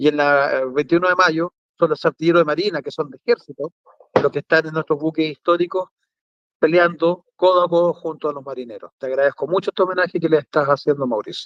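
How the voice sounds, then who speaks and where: A very fast pace with fairly even intonation and big swings in loudness, in a dry, close sound with no echo. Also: man, fairly high pitch for a man. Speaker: museum director and military historian. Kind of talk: interview on a talk show.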